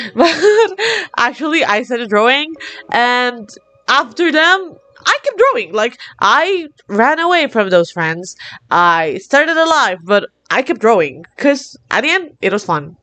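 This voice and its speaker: At a fairly slow pace, a woman speaks in a high pitch with a bright, sharp tone and very wide pitch swings. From Latin America. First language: Spanish. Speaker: art hobbyist vlogger. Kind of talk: casual monologue. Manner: energetic, animated.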